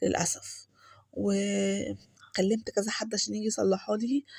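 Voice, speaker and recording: A soft-spoken woman in a very clean recording with a silent background. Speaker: home vlogger. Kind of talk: voice-over vlog narration. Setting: home, recorded voice-over. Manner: soft-spoken, lowered voice.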